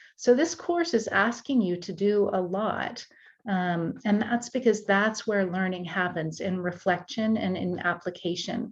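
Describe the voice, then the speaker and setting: Against a quiet background, a woman with an American accent talks at a fairly slow pace, medium-pitched and somewhat breathy, with ordinary pitch variation. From United States, German-speaking family. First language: German. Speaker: university tutoring course instructor. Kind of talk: course welcome talk.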